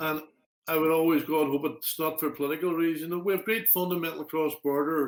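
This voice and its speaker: With a Derry accent, a man speaks at a very fast pace and with fairly even intonation. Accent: Northern Irish (Derry). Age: 60s. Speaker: interview guest, public figure. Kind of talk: casual interview.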